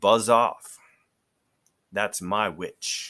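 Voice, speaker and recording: A man puts on a character voice, growling and croaky, at a fairly low pitch. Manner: menacing, barking an order.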